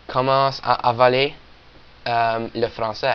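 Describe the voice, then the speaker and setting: Very slow, monotone delivery with flat intonation, in an Acadian accent. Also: man. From Nova Scotia, Canada (Acadian region). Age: young. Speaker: video blogger. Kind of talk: personal video monologue. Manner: hesitant, many fillers.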